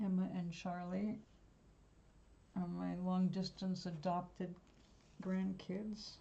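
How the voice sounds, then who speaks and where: With an American accent, a woman speaks very slowly in a flat monotone at medium pitch, her dark, mellow tone somewhat breathy, with long, frequent pauses and audible room echo. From New York. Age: 70s. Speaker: live-stream host, artist and spiritual guide. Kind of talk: casual live-stream chat. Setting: home live stream.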